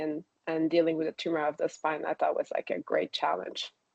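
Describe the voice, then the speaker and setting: A woman's fairly low voice with a slight French accent. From Quebec, Canada (town outside Quebec City). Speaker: spine surgeon. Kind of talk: interview. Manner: hesitant, many fillers.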